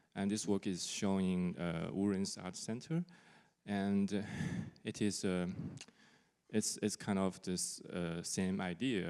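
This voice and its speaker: On a very clean recording with a silent background, a man with a non-native accent speaks very slowly in a very deep, low pitch with fairly even intonation. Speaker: artist. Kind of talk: panel discussion. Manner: halting.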